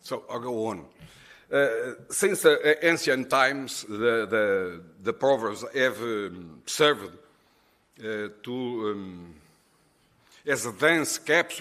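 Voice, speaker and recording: A man with a Portuguese accent speaks very slowly, leaving long, frequent pauses. His tone is bright and sharp, his intonation lively, and the recording very clean with a silent background. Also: medium pitch for a man. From Portugal. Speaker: conference presenter. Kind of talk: conference presentation. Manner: halting.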